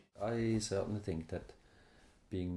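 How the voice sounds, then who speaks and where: At a fairly slow pace, a man with a Swiss German accent talks in a dark, mellow tone. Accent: Swiss German accent, noticeable. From Switzerland. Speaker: immigrant interviewee. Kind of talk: interview testimony.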